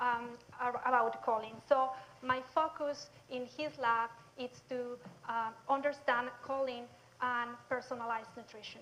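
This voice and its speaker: A woman with a Mexican accent talks at a fairly slow pace in a high pitch. Her intonation stays fairly even while her loudness swings widely. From southern Mexico. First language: Spanish. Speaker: nutrition researcher. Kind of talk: public lecture.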